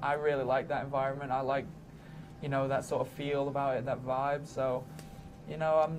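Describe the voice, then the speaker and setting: A man with an English accent talks at a fairly quick pace, his fairly high pitch held in a monotone, flat delivery. Audible room echo and noticeable background noise surround him. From England. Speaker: college basketball player. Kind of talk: media day interview. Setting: arena media day.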